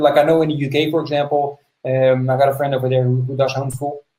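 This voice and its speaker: The man's voice is somewhat breathy, with a dark, mellow tone. He speaks at a fairly quick pace and a fairly high pitch. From Netherlands. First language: Dutch. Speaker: podcast host. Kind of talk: interview.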